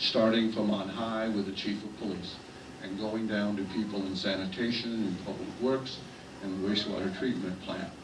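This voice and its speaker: Speaking at a moderate pace with an American accent, a man with a medium-pitched voice is heard amid audible room echo and noticeable background noise. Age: 70s. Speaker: city official. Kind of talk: political speech.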